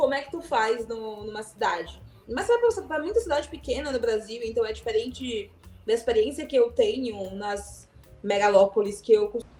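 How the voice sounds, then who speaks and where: A woman talks at a moderate pace in a fairly high pitch with ordinary pitch variation. Her loudness swings widely, with music in the background. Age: 30s. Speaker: podcast host. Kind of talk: casual podcast conversation.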